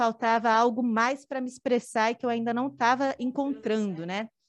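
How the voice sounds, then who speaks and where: With an ordinary speaking voice, a woman talks at a moderate pace and a fairly high pitch, her intonation fairly even against a quiet background. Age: 30s. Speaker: performing artist, dancer and drag king. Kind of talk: casual chat. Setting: studio.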